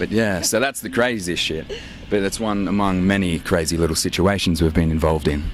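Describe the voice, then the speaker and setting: With an Australian accent, a man speaks at a fairly quick pace over noticeable background noise. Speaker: rock band member. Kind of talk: casual interview. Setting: outdoors at an airport show.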